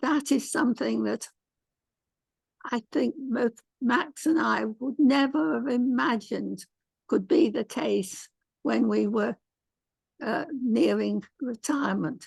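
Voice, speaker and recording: Here is a woman with an English accent. She talks at a very slow pace, with long, frequent pauses. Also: dry, close sound with no echo. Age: 90s. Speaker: author. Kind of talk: interview.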